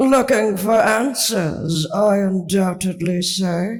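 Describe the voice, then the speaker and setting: Using a squeaky put-on character voice, a man speaks at a very slow pace. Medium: read story. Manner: gloating, wordy.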